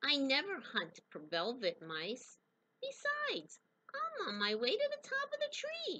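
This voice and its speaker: A woman in a put-on character voice, at a moderate pace. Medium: read story. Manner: playful, confident.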